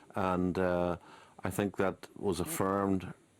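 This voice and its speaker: A man speaks in a Belfast accent. His very deep, low voice moves at a fairly slow pace. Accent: Belfast Northern Irish. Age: 60s. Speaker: former republican strategist and author. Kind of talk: radio interview.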